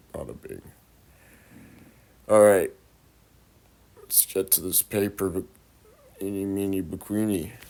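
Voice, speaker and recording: Loud, dark, mellow delivery at a fairly slow pace, broken by long, frequent pauses. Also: man, fairly low pitch for a man. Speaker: vlogger. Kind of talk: casual monologue vlog. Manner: animated.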